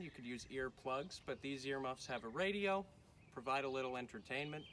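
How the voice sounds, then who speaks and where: Light background noise is heard behind a man speaking. He talks at a moderate pace with lively intonation. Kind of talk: tutorial. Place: farm machine. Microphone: camera far.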